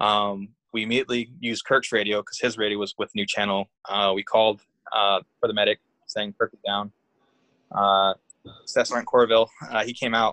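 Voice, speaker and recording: Speaking at a moderate pace with long, frequent pauses, a man keeps a fairly low pitch and monotone, flat intonation. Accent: Californian. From Northern California (Humboldt County). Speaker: army veteran. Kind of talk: casual interview.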